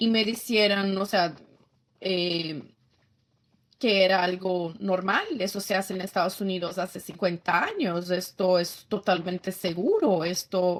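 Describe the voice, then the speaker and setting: At a fairly slow pace, a woman speaks with a Brazilian accent. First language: Portuguese (speaking Spanish). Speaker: former feminist activist, pro-life advocate. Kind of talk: testimony. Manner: halting, with many self-corrections.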